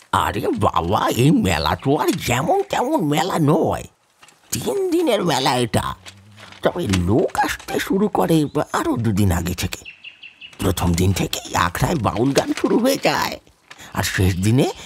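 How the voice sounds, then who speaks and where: A put-on character voice is used here. Its speed is moderate. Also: man. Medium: audio drama. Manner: chatty, enthusiastic.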